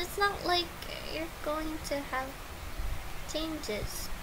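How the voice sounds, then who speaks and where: Through noticeable background noise, a woman projects a raised voice with very wide pitch swings. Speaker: YouTuber. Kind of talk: unscripted vlog monologue. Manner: halting.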